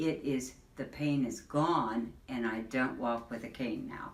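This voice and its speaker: A woman with a very deep, low pitch speaks very slowly amid audible room echo and noticeable background noise. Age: 70s. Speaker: patient giving testimonial. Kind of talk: testimony.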